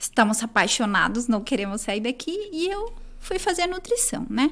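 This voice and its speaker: Pitch swings very widely throughout this speech, which holds a moderate tempo. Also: woman, high pitch for a woman. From Chile. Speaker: nutritionist. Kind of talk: academic interview.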